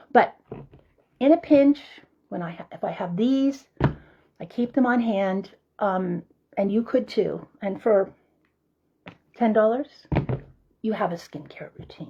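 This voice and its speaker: Somewhat breathy and fairly high in pitch, a woman speaks at a fairly slow pace with long, frequent pauses and big swings in loudness. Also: lively intonation. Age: 70s. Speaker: herbal skincare maker. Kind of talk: tutorial. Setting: home kitchen. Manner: casual, unhurried.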